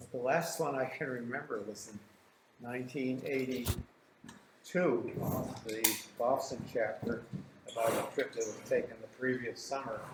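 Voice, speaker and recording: Noticeable background noise surrounds a man who speaks at medium pitch and a fairly slow pace, his intonation fairly even. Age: 80s+. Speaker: author and wilderness canoeist. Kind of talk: club slideshow talk.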